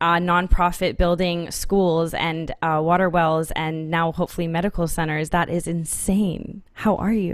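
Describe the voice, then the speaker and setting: In a plain, everyday voice, a woman with a fairly low pitch speaks at a fairly slow pace with fairly even intonation. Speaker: podcast host. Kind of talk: interview.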